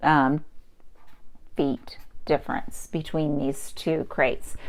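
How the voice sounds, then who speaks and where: A woman speaks with very wide pitch swings. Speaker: adult education math teacher. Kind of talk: tutorial.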